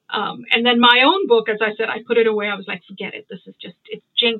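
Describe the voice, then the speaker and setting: Speaking very fast, a woman has a fairly high pitch. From India, Bombay. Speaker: writer and literary translator. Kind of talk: interview.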